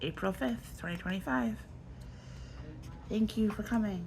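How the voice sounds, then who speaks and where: A woman with a very deep, low voice speaks with long, frequent pauses, with audible room echo. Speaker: artist, YouTuber. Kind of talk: casual sketchbook tour talk. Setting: filming at home in bedroom. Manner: casual, hesitant with many fillers.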